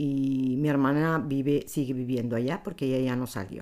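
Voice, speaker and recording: A woman with a very deep, low voice speaks at a fairly slow pace. The recording is very clean, with a silent background. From Palestine. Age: 50s. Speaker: interviewee sharing life story. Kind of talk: personal testimony.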